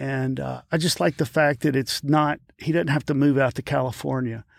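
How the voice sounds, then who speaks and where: A man's fairly high voice with a Louisiana accent at a moderate pace, dry and close with no echo, on a very clean recording with a silent background. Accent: Louisiana Southern US. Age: 50s. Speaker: actor and stuntman. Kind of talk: casual interview. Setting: studio.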